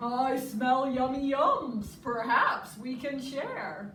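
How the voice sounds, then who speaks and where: A put-on character voice at a very slow pace with slight echo. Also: woman, high pitch for a woman. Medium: read story.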